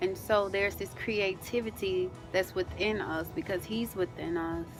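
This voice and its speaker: Music plays in the background while someone talks at a moderate pace. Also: woman, medium pitch for a woman, fairly even intonation. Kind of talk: casual talk to camera.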